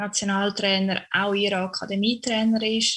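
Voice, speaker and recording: This woman's voice sits at a medium pitch. She speaks with monotone, flat intonation. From Switzerland, Canton of Zurich. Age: 20s. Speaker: professional handball player. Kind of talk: interview.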